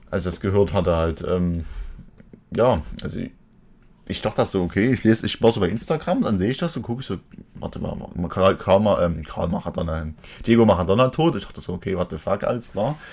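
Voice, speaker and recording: At a fairly quick pace, a man speaks in a fairly low pitch with lively intonation. Long pauses come often. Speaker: podcast and stream host. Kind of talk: casual chat. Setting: live Twitch stream.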